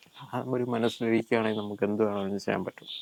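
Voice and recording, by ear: A man speaks at a very fast pace with fairly low pitch, little pitch movement and vocal fry. His tone is slightly mellow.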